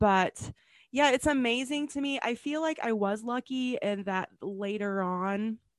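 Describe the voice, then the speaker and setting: Against a quiet background, a woman speaks in a normal speaking voice at a fairly slow pace, with ordinary pitch variation and a dry, close sound with no echo. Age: 40s. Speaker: podcast host, pharmacist and health coach. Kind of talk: casual interview chat.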